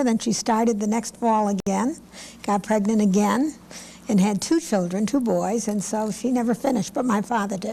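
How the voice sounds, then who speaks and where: A woman speaks with an American accent and fairly even intonation. Noticeable background noise runs under her voice. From Connecticut, Hartford area. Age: 70s. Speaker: lawyer. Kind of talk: oral history interview.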